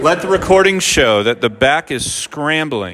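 Over noticeable background noise, a man speaks in a fairly high voice with an animated tone and lively intonation. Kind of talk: sermon with playful asides, like a live-demo sales pitch. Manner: animated, brisk, showman-like patter with urgent coaxing and mock-exasperated humor.

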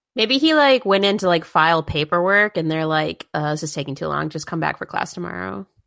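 On a very clean recording with a silent background and a dry, close sound with no echo, a woman speaks in a plain, everyday voice. Her pitch is fairly low, her intonation lively, and her pace fairly quick. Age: 30s. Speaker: podcast co-host. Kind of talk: casual chat.

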